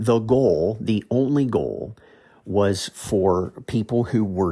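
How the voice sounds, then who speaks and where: A man speaks with a dark, mellow tone in an American accent. The recording is very clean, with a silent background. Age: 40s. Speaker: podcast host, Bible teacher. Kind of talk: podcast teaching monologue. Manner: hesitant, with fillers and repeated words.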